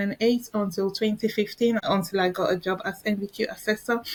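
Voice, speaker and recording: A woman with a Nigerian accent, medium in pitch, at a moderate pace. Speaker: educator and researcher. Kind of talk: interview conversation. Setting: podcast interview. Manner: halting.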